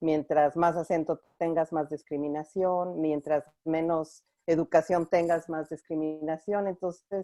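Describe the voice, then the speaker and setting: A woman's fairly low, monotone voice with a Mexican accent, flat and fairly slow, dry and close with no echo. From Mexico (Mexico City). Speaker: clinical supervisor at a women's organization. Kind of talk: online conference interview.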